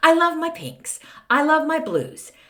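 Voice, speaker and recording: An animated woman with an American accent, with audible room echo. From Texas. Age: 60s. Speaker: podcast host. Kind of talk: casual monologue.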